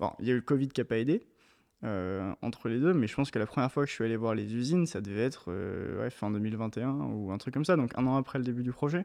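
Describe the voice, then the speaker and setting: Against a quiet background, a man speaks very fast at a medium pitch with lively intonation. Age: 20s. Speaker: shoe designer and brand founder. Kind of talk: interview.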